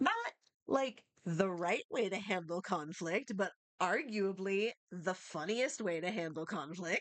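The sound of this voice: Over a quiet background, pitch rises and falls normally in an unforced reading voice.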